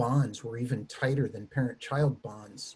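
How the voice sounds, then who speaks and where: A man with an American accent, a dark, mellow tone, somewhat breathy delivery and a moderate pace. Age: 60s. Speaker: theology professor. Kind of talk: panel discussion.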